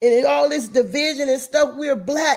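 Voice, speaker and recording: High pitch from a female speaker. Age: 60s. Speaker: mother of the channel's host. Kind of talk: heartfelt personal message. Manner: emphatic, repetitive.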